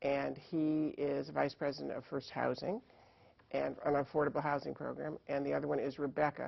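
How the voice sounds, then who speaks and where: At a moderate pace, a woman speaks with a slight New England accent. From Connecticut. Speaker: elections official. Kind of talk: TV interview.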